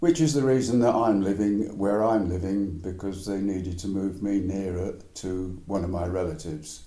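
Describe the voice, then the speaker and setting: A man speaks fairly slowly in an English accent, his pitch fairly low. Room echo is audible. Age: 80s+. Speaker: retired man, cancer survivor. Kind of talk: interview, life story.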